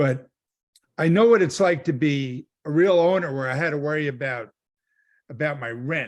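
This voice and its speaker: Long, frequent pauses in a man's speech, fairly high in pitch, at a moderate pace with ordinary pitch variation. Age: 60s. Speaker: solar sales rep. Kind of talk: team training call.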